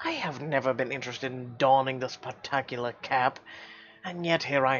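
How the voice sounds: What you hear is a natural reading voice.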